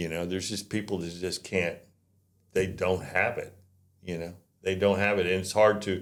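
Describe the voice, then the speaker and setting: A man talks with a very deep, low pitch and monotone, flat intonation, leaving long, frequent pauses. Audible room echo fills the recording. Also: moderate pace. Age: 70s. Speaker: real estate agent, company founder. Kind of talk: casual chat.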